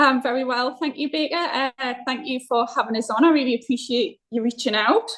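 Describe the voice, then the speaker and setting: A woman with a Northeast English accent speaks at a fairly quick pace. Her voice is high in pitch, with ordinary pitch variation. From Northeast England. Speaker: football club chair, businesswoman. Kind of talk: podcast interview.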